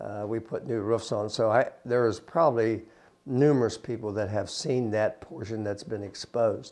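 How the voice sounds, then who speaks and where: A man with an Appalachian accent, medium pitch, moderate pace and fairly even intonation. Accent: Appalachian American. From US, West Virginia. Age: 60s. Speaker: prison site manager. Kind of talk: interview. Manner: halting.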